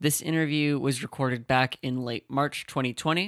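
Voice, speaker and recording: A man with a fairly high pitch speaks at a moderate pace in a bright, sharp tone with ordinary pitch variation. The recording is very clean with a silent background and has a dry, close sound with no echo. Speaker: podcast host. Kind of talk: interview questions and podcast intro.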